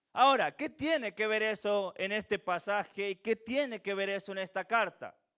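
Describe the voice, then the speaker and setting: In a raised, projected voice with a high pitch and ordinary variation, a man speaks at a moderate pace with hardly any pauses, his tone bright and sharp, the sound dry and close with no echo, on a very clean recording with a silent background. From Venezuela. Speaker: preacher. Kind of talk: sermon.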